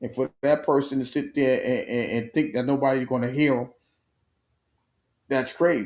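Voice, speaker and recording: On a very clean recording with a silent background, a man with a New York accent speaks at a medium pitch with fairly even intonation. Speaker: sports talk show host. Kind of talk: solo live stream sports commentary. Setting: home studio live stream. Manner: halting with many repetitions.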